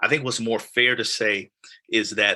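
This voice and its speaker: This man talks at a moderate pace and a medium pitch. His tone is bright and sharp. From South Side of Chicago (West Pullman). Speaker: community leader, Navy veteran. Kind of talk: podcast conversation.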